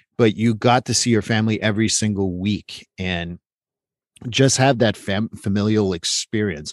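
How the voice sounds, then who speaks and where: A man speaks at a fairly low pitch with fairly even intonation and a Quebec accent, recorded dry and close with no echo against a quiet background. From Quebec, Montreal. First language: French. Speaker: therapist. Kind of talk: interview conversation. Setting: remote call.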